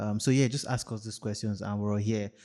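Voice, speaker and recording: A man speaks with a Nigerian accent. His pitch is fairly low and his tone dark and mellow. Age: 30s. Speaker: podcast co-host. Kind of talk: casual chat. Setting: studio.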